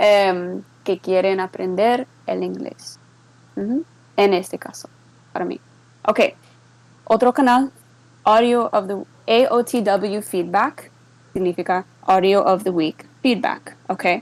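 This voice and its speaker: Pausing long and often, a woman speaks at a fairly slow pace in a medium pitch with ordinary pitch variation. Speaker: server moderator giving a tutorial. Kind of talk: tutorial. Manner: halting, code-switching English and Spanish.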